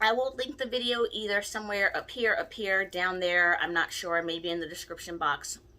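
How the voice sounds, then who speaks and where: Her voice bright and sharp, a woman speaks at a medium pitch with lively intonation. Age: 30s. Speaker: spiritual practitioner teaching candle magic. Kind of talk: tutorial. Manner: slight stumbles on words.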